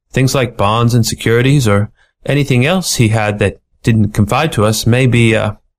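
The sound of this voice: Quiet background behind an unforced reading voice.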